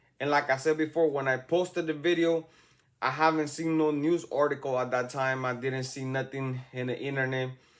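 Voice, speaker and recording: In a very clean recording with a silent background, a man with a strong Salvadoran accent speaks at a fairly high pitch in a flat monotone. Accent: thick Salvadoran. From El Salvador. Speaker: YouTube true-crime commentator. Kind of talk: casual commentary. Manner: slow, deliberate.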